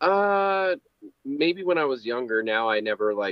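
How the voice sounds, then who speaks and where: At a moderate pace, the voice sounds dry with no echo against a quiet background. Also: man. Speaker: guest. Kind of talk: interview answer. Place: home room.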